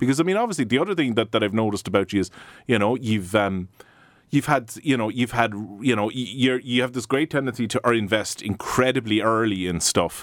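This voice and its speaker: A man with a Cork accent talks at a fairly quick pace and a medium pitch, with ordinary pitch variation. The recording is very clean, with a silent background. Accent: Irish (Cork). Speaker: podcast host and coworking space founder. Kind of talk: podcast interview. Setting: studio.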